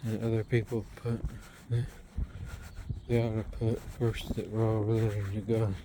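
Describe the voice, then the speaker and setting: Medium in pitch and moderate in pace, a man speaks in a flat monotone with long, frequent pauses. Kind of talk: casual talk to camera while walking. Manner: whispered.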